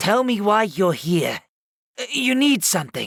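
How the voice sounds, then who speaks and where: A man puts on a raspy character voice, pitched high. He speaks at a fairly slow pace. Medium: read story.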